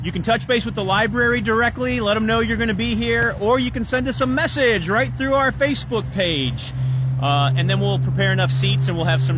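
A man speaks at a moderate pace. The sound is dry with no echo, though background noise is noticeable. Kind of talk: casual promotional announcement. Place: street. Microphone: phone near.

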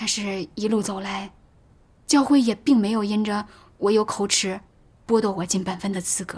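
With long, frequent pauses, a woman speaks at a moderate pace, somewhat breathy, her intonation fairly even. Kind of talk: testimony. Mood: calm, sincere, reflective. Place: home room.

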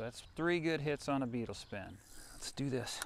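A man speaks at a medium pitch with vocal fry. His intonation is lively.

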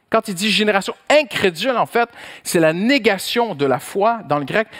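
Very slowly, a man speaks in a high voice with very wide pitch swings. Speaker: pastor. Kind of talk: sermon. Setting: church. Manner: animated.

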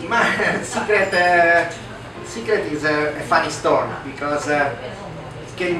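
Amid audible room echo and noticeable background noise, a man speaks at a fairly slow pace. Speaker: guest. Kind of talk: interview answer. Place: cafe.

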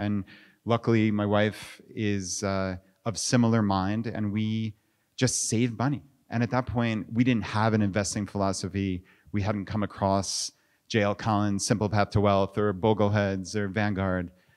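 Here a man talks in an unremarkable speaking voice with a fairly low pitch and fairly even intonation. He keeps a moderate pace over a quiet background. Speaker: interview guest. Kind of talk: interview answer. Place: hall. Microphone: handheld.

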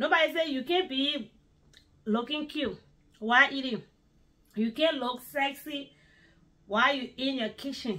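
A woman's raised, projected voice, high in pitch with ordinary pitch variation, at a fairly slow pace with long, frequent pauses. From Liberia. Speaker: home cook video blogger. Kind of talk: cooking tutorial; casual cooking vlog chat. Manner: casual.

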